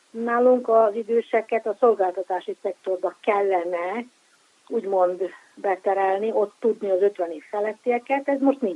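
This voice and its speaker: At a fairly slow pace, a woman with a medium pitch, a dark, mellow tone and ordinary pitch variation shows big swings in loudness, recorded with a dry, close sound and no echo. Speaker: sociologist. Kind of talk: expert interview. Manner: formal.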